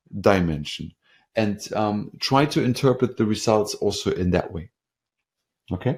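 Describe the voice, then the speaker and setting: Speaking at a fairly slow pace, a man shows vocal fry and lively intonation. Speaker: product presenter. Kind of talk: webinar product demo. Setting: online webinar. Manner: hesitant, many fillers.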